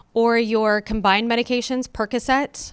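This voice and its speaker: A woman's fairly high-pitched voice on a very clean recording with a silent background. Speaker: pharmacy benefit presenter. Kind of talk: conference presentation. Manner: fast.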